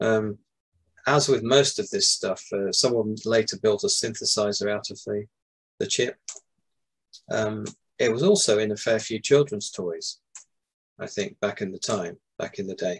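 With a British accent, a man talks at a moderate pace. He leaves long, frequent pauses. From UK. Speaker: music book author and video game music expert. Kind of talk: interview. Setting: video call. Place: home room. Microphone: video call.

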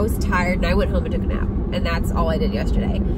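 A woman at a very fast pace, dry sound with no echo, over loud background noise. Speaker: lifestyle vlogger. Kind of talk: casual vlog chat. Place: car. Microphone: phone near.

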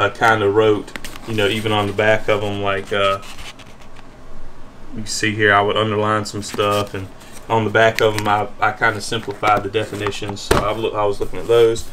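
At a moderate pace and fairly low pitch, a man speaks with monotone, flat intonation over light background noise. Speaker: nurse vlogger. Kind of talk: casual vlog chat. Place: home room.

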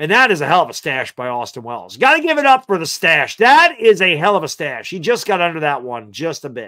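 Against a quiet background, a high-pitched man talks at a fairly quick pace with hardly any pauses, using a bright, sharp, animated tone, very wide pitch swings and big swings in loudness. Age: 40s. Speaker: sports streamer. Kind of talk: live sports commentary. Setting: live stream. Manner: excitable.

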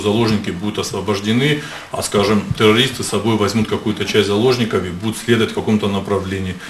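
Fairly quick, somewhat breathy speech from a man with fairly low pitch, plus light background noise and audible room echo. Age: 60s. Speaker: medical official testifying as witness; witness. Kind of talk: court testimony. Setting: courtroom. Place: hall. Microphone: podium.

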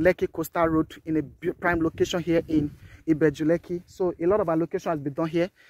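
Speaking at a fairly quick pace with a Nigerian accent, a man has a high pitch, and the sound is dry with no echo. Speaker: real estate marketer. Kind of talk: sales pitch. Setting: outdoors, walking the estate site. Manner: animated, hard-sell pitchman; repeats key phrases for emphasis. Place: open country. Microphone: phone near.

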